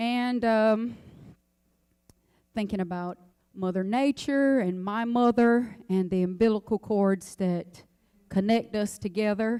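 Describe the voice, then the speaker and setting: A woman's fairly high pitch and dark, mellow tone, with fairly even intonation, a very slow pace and long, frequent pauses. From North Carolina, Robeson County (Pembroke). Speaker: singer. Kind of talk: speech before song performance.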